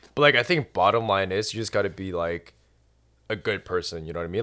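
An unremarkable speaking voice from a man with a Canadian accent, lively intonation and a fairly quick pace. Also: very clean recording, silent background. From Canada. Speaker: doctor. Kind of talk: casual chat.

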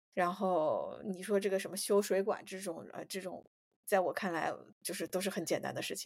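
A woman speaks at medium pitch and a fairly quick pace, her intonation monotone and flat while her loudness swings widely. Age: 30s. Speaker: podcast co-host. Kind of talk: casual chat.

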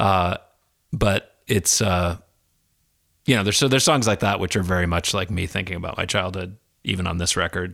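Speaking at a fairly quick pace in a Midwestern American accent, with ordinary pitch variation and long, frequent pauses, the voice comes through a very clean recording with a silent background. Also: man, very deep, low pitch for a man. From US Midwest (Des Moines, Iowa). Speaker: children's musician. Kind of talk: casual chat. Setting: his living room, recorded on location.

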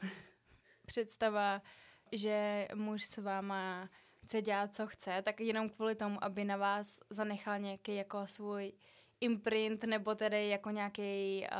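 The recording is very clean, with a silent background. A woman speaks fairly slowly at medium pitch in a monotone, flat intonation. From Czech Republic, Prague. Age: 20s. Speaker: podcast co-host, student. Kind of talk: casual chat.

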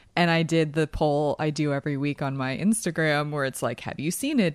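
A woman with a slight Philadelphia accent has a very deep, low pitch. She talks at a fairly quick pace. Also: hardly any pauses, dry, close sound with no echo. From Philadelphia, US. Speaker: podcast host. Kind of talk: casual chat, movie discussion. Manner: chatty, laughs often.

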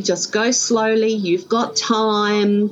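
Noticeable background noise sits behind a voice with a strong Australian accent. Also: woman. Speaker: stroke survivor guest. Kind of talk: casual interview, personal storytelling. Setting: video call, her backyard.

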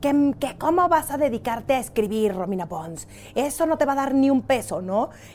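A woman with a high voice talks at a moderate pace, her pitch swinging very widely. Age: 30s. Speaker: podcast host. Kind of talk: casual chat.

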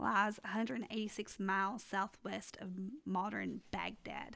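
A woman's very slow speech with vocal fry and a bright, sharp tone. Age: 30s. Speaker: podcast co-host. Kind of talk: casual Bible study chat.

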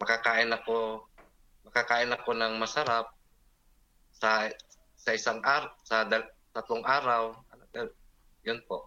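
A man speaks at a fairly slow pace in a bright, sharp tone with monotone, flat intonation. He leaves long, frequent pauses. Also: medium pitch for a man. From Philippines, Davao City. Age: 40s. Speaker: guest sharing life story. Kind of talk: personal testimony in interview. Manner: halting, hesitant.

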